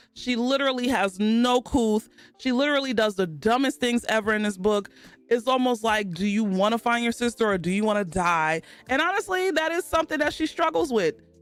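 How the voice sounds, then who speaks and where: Over music in the background, a woman talks at a fairly high pitch and a fairly quick pace in an animated tone. Her pitch swings very widely while her loudness stays very even. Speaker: book reviewer streamer. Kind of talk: live stream book review. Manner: casual, animated.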